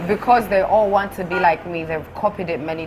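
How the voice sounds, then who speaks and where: Noticeable background noise sits behind speech that moves at a moderate pace with ordinary pitch variation. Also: woman. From United Kingdom. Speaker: socialite. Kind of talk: heated interview. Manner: animated.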